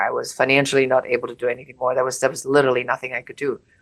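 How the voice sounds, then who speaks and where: Speaking in a very deep, low pitch, a woman talks with a German accent. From Germany. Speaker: business coach and entrepreneur. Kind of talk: personal business story.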